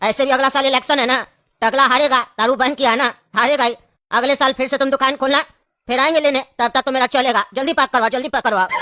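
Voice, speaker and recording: In a cartoonish character voice, someone speaks very fast at a high pitch. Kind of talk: comic overacting.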